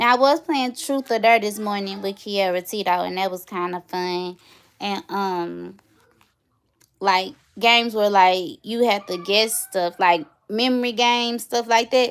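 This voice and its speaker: A woman speaks in an American accent at a medium pitch. Her pitch varies in an ordinary way. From St. Louis, Missouri, US. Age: 30s. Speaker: YouTuber. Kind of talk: casual vlog chat. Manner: animated.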